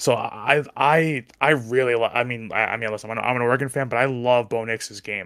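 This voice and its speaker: A man talks at a fairly quick pace. His medium-pitched voice keeps a fairly even intonation. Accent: New Jersey. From New Jersey. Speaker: sports podcast panelist. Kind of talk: casual chat. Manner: fast.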